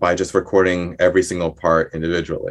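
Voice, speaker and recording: A man's very deep, low voice in a New Jersey accent. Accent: American, New Jersey. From New Jersey, US. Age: 30s. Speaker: composer and violinist. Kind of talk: interview. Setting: video call. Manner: halting, many fillers.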